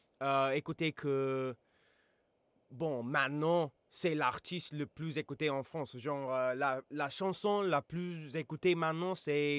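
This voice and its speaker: A man with an English accent speaks very slowly at fairly high pitch. His pitch variation is ordinary, and the sound is dry and close with no echo. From United States. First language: English (speaking French). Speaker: YouTuber and rapper reacting to music. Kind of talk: casual reaction video. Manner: halting, many hesitations.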